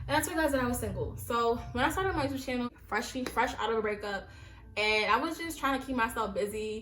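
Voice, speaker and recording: With an American accent, a woman speaks at a very fast pace with a high pitch and lively intonation, amid noticeable background noise and audible room echo. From US Northeast, Brooklyn, New York. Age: 20s. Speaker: YouTuber. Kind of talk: casual vlog monologue. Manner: animated.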